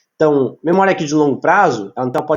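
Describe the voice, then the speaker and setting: At a fairly quick pace, a man with a fairly high pitch talks with lively intonation. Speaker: psychology lecturer. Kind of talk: online lecture. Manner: fast.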